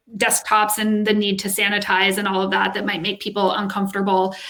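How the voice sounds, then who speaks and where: There is noticeable noise in the background. Over it, a woman talks. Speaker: HR executive. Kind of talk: casual chat. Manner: loud talker on calls.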